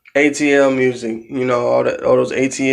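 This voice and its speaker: Audible room echo hangs around a man speaking at a medium pitch. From US South, rural south Georgia (Valdosta, Hahira), born in Philadelphia. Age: 20s. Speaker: vlogger. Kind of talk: casual personal vlog monologue. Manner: halting, many fillers and restarts.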